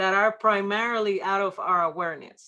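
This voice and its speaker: With a slight Puerto Rican accent, a woman speaks at a fairly slow pace in a medium pitch with a bright, sharp tone. The recording is very clean, with a silent background. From Puerto Rico. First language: Spanish. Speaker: workshop presenter on church ministry. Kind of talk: workshop presentation. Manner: many filler words and hesitations.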